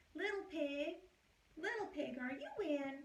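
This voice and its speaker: A woman uses a squeaky, put-on character voice at a high pitch. She speaks at a fairly slow pace. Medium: read story.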